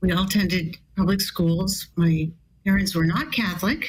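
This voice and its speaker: Her voice is somewhat breathy and medium in pitch. The woman talks at a moderate pace. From US West Coast, California. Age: 70s. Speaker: bioethicist. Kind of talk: testimony.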